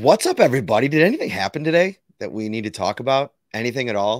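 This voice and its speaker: A man does a put-on character voice, hoarse and medium-pitched, with lively intonation. He talks very fast, and the sound is dry and close with no echo. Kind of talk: casual podcast chat.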